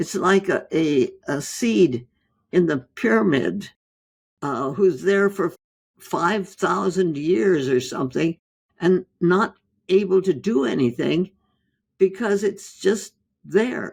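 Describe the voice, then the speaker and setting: Her voice sits fairly low, with vocal fry and lively intonation. The woman speaks at a very slow pace, pausing long and often. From India. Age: 80s+. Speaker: physician, author. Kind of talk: interview answer.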